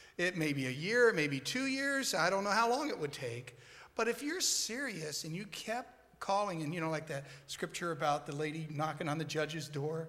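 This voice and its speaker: A man with a bright, sharp tone and fairly high pitch speaks at a moderate pace with lively intonation, in a room with audible echo. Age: 60s. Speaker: church member in scripture memory group. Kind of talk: on-stage interview testimony.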